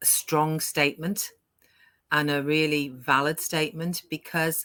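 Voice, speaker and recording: Speaking with a British accent, a woman has a bright, sharp tone and a very deep, low pitch. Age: 60s. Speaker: online business owner, live show host. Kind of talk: casual chat. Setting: live stream. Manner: animated.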